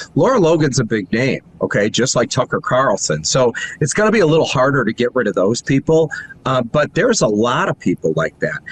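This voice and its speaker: Over noticeable background noise, a man of medium pitch talks at a fairly quick pace with very wide pitch swings and very even loudness, in a dry, close sound with no echo. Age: 60s. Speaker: news platform founder. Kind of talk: interview. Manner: animated.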